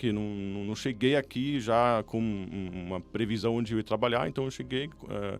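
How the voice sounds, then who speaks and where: Speaking at a fairly slow pace, a man with a fairly low voice and a German accent uses ordinary pitch variation. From Germany. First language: German (speaking Portuguese). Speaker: business consultant. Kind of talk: podcast interview. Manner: halting, many fillers.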